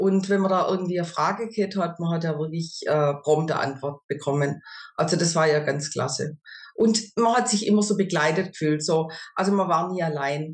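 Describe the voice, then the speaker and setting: Somewhat breathy and fairly low in pitch, a woman speaks at a moderate pace with ordinary pitch variation. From southwest Germany, near Stuttgart. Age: 50s. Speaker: customer testimonial, supermarket cashier. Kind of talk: interview testimony. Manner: hesitant, many filler sounds.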